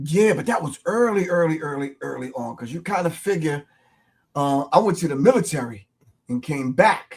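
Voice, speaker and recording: A man with a New York accent speaks with lively intonation and big swings in loudness. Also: fairly high pitch for a man, moderate pace. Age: 60s. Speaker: hip-hop artist and martial arts instructor. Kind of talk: casual interview.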